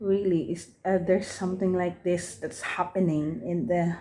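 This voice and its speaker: A woman with a Filipino accent speaks at a moderate pace, with a fairly low pitch and a dark, mellow tone, on a very clean recording with a silent background. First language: Tagalog. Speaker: book reviewer, vlogger. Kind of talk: casual vlog book review. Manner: halting, many repetitions and fillers.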